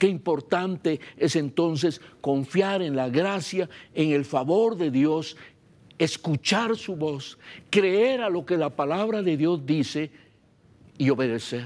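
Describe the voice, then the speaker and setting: The man's voice sits fairly high in pitch. He talks at a very slow pace. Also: lively intonation, very clean recording, silent background. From Guatemala, Baja Verapaz. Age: 70s. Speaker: pastor. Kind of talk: sermon.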